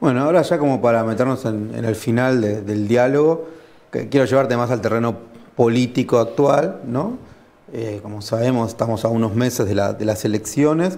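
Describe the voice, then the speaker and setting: In a Rioplatense accent, a man talks at a moderate pace. His pitch is medium, with ordinary pitch variation. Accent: Argentine Rioplatense Spanish. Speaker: interviewer. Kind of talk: interview. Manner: halting, repeats words.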